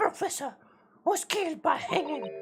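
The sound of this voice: A put-on character voice with music in the background.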